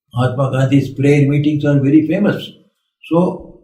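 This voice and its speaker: A man's somewhat breathy voice, fairly high in pitch, with a dark, mellow tone, fairly even intonation and audible room echo. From India. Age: 80s+. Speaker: monk. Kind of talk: spiritual talk.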